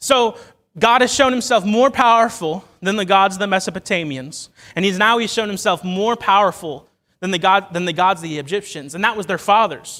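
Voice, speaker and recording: A man's high-pitched, raised and projected voice with an American accent, animated in tone, at a fairly quick pace, on a very clean recording with a silent background. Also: ordinary pitch variation. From Ohio. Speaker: lay preacher. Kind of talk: sermon. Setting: church. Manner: fast.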